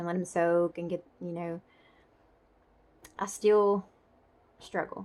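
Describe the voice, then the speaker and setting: Her voice fairly low for a woman, she talks at a fairly slow pace. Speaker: stroke survivor vlogger. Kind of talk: casual vlog update. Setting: home. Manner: halting.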